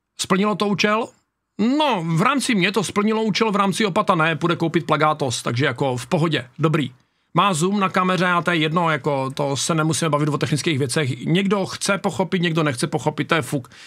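Against a quiet background, a man talks at a fairly quick pace in a high pitch with ordinary pitch variation. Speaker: YouTuber reacting to videos. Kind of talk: casual reaction video commentary. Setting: home studio. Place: home room. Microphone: studio mic.

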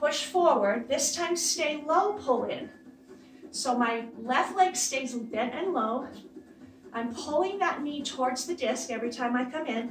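Over noticeable background noise, a woman with a high pitch talks at a very slow pace with ordinary pitch variation. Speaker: fitness instructor. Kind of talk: workout instruction cues. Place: home room. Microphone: camera far.

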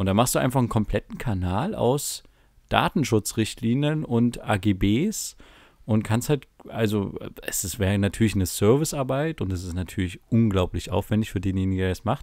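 Using an unremarkable speaking voice, a man with a fairly low pitch talks at a moderate pace with lively intonation. His recording is very clean, the background silent. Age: 20s. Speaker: podcast co-host. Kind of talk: casual chat. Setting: home recording in a bedroom.

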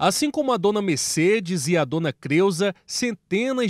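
In a dry, close sound with no echo, a man talks at a fairly slow pace with lively intonation. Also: very clean recording, silent background. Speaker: news reporter. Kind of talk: news reading.

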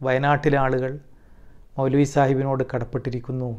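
A man speaks here. Behind him the background is quiet. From Kerala. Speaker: former student, community member; interviewee. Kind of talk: testimony. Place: home room. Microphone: lapel.

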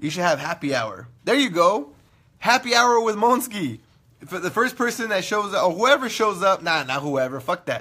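Against a quiet background, a man projects a raised, high-pitched voice with a bright, sharp, animated tone, very wide pitch swings and a moderate pace. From California. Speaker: internet radio host. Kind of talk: casual livestream chat. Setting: live video stream. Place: studio. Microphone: phone near.

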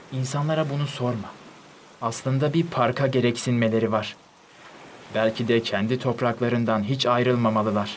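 Noticeable background noise sits behind a man's voice. His loudness stays very even and his intonation fairly even. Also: medium pitch for a man, moderate pace. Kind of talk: literary audiobook reading of diary prose.

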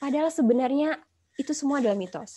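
The background is quiet. Speech comes at a very fast pace with ordinary pitch variation. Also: woman. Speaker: pharmaceutical marketing executive; guest lecturer. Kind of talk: guest lecture. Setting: video call. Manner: animated. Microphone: video call.

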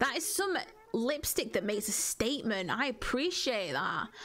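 A woman speaks at a moderate pace. Noticeable background noise sits behind her. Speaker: gaming YouTuber. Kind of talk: casual gameplay commentary.

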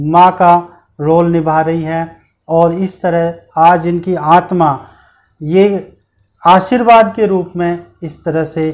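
Very slowly and with long, frequent pauses, a high-pitched man speaks with fairly even intonation. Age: young. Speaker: interview show host. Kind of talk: interview. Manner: formal. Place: studio. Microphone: lapel.

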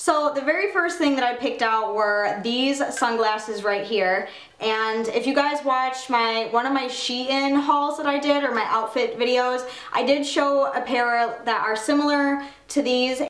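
The speech moves at a fairly slow pace. Audible room echo surrounds it. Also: woman, high pitch for a woman, ordinary pitch variation. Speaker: fashion vlogger. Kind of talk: casual vlog chat. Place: home room.

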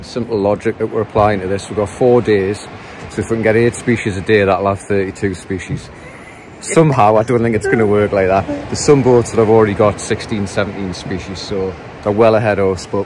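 Over noticeable background noise, a man talks at a fairly quick pace with fairly even intonation, the sound dry with no echo. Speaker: angler vlogger. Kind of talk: casual vlog chat. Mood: cheerful, relaxed. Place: boat. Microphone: phone near.

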